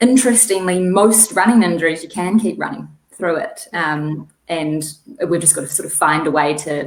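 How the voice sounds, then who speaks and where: A woman speaks with a strong New Zealand accent. Her pace is moderate and her pitch variation ordinary. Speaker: physical therapist. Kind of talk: interview.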